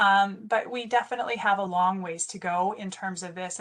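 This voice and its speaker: Delivered at a fairly quick pace in a plain, everyday voice, the speech shows ordinary pitch variation and big swings in loudness. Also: woman. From northwestern Ontario, Canada. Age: 40s. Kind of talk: webinar presentation. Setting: online webinar. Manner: conversational, frequent fillers.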